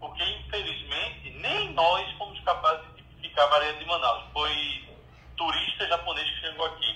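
A man at a moderate pace with big swings in loudness, over noticeable background noise. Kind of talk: casual chat.

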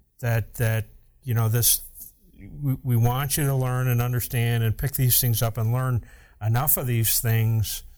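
A man's medium-pitched voice, fairly slow and monotone, with very even loudness, on a very clean recording against a silent background. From upstate New York. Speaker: fire captain and podcast host. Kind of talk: casual chat.

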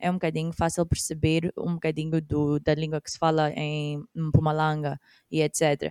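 A woman with a very deep, low pitch and a dark, mellow tone talks at a moderate pace in a monotone with flat intonation, the sound dry and close with no echo. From Mozambique. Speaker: podcast co-host. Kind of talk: casual chat. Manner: code-switching Portuguese and English.

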